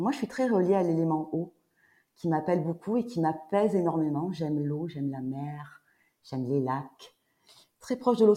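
At a moderate pace, a woman speaks with a dark, mellow tone, fairly low pitch and lively intonation. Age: 50s. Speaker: sophrologist. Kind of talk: casual chat. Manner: halting.

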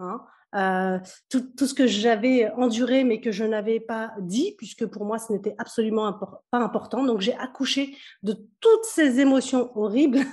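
A woman speaks in an unremarkable speaking voice at a fairly high pitch. Her pace is fairly slow and her intonation fairly even. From Kabylie, Algeria, raised in France. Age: 40s. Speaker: business coach. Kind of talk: interview.

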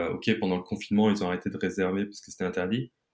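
A man talks at a fairly low pitch in a very clean recording with a silent background. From mixed: England, Germany, then France. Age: 40s. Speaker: entrepreneur. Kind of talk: interview. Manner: halting, many repetitions.

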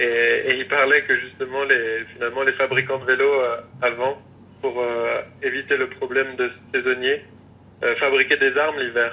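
Noticeable background noise sits behind a man talking. He keeps a moderate speed but leaves long, frequent pauses. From rural France. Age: 30s. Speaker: bicycle frame builder. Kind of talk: interview. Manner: halting.

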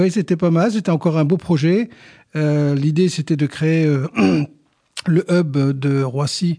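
A man's fairly high pitch and dark, mellow tone, with fairly even intonation at a moderate pace. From northern France, Boulogne-sur-Mer. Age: 60s. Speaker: company president. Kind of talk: interview. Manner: halting.

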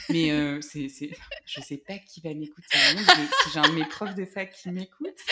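A woman with a fairly low pitch speaks fairly slowly, showing ordinary pitch variation and big swings in loudness over noticeable background noise. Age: 20s. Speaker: law student and mother. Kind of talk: interview testimony. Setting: at the host's home. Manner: talkative.

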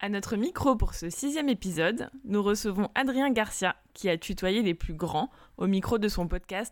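On a very clean recording with a silent background, a woman of medium pitch speaks at a moderate pace with lively intonation and a slight southern French accent. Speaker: podcast host, journalist. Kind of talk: scripted intro.

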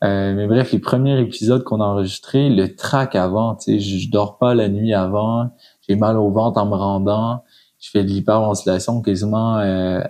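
A man with a fairly low pitch and a dark, mellow tone speaks at a fairly slow pace. His intonation is fairly even over a quiet background. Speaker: podcaster and aspiring blogger. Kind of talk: casual interview conversation.

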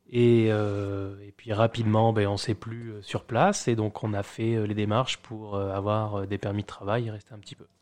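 The speaker talks at a fairly slow pace in a monotone, flat intonation with hardly any pauses and big swings in loudness. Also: man, fairly low pitch for a man. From France, Charente-Maritime (rural village near La Rochelle). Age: 30s. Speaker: immigrant, bank employee. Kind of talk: casual interview. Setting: at the host's home. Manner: hesitant, many fillers and repetitions.

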